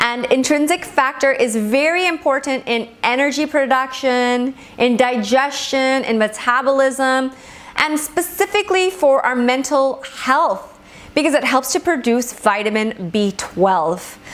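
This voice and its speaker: Over noticeable background noise, a woman with a Gujarati accent speaks fairly slowly at a high pitch with lively intonation. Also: very even loudness. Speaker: Ayurvedic medicine teacher. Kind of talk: lecture.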